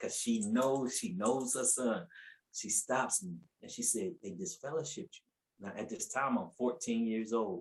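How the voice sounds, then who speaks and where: A man with an American accent sounds somewhat breathy as his voice moves in very wide pitch swings. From US South, Asheville, North Carolina. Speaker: preacher. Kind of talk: testimony. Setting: podcast interview.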